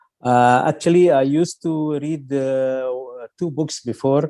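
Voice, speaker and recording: With an Arabic accent, a man speaks at a fairly slow pace in a fairly high pitch, his tone dark and mellow and his intonation fairly even. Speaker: film critic. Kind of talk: radio interview. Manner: halting, many fillers.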